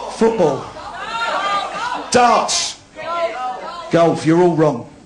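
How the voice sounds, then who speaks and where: A man with a Cockney accent speaks in an animated tone, his pitch high for a man. The room echo is audible and background noise is noticeable. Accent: London Cockney. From London, East End. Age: 40s. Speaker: comedian. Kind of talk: stand-up. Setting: stage with audience.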